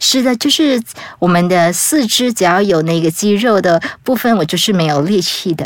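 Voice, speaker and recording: A woman speaks at a moderate pace and medium pitch with lively intonation. Her loudness stays very even over noticeable background noise. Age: 30s. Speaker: travel author with muscular atrophy, wheelchair user. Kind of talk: casual interview.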